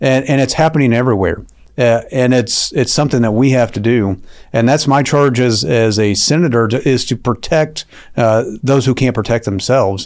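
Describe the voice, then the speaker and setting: A man with an American accent speaks at a moderate pace and medium pitch in a plain, everyday voice, with ordinary pitch variation and very even loudness. The recording is very clean, with a silent background. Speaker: state senator. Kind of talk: interview. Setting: studio.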